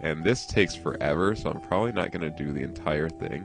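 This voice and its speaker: Music plays in the background as a man with a very deep, low pitch talks with ordinary pitch variation. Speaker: pixel art tutorial creator. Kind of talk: screen-recorded tutorial narration. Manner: casual, chatty.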